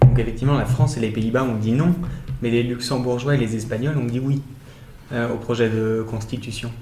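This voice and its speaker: Over music in the background, a man speaks at a medium pitch and a moderate pace with monotone, flat intonation. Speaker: podcast co-host. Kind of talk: political interview.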